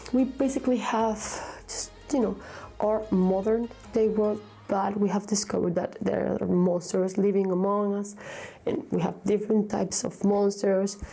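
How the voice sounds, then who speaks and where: Music plays behind a woman who speaks with a Spanish accent. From Vigo, Spain. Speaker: book reviewer. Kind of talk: casual talk to camera.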